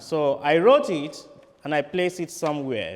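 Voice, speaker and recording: Speaking fairly slowly with a Nigerian accent, this man lets his pitch rise and fall very widely. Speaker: priest. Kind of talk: sermon.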